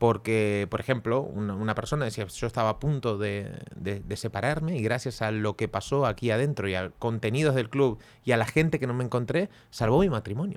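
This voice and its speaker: A man's normal speaking voice at medium pitch, fairly quick pace and ordinary pitch variation, on a very clean recording with a silent background. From Argentina. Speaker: podcast co-host. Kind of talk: casual chat.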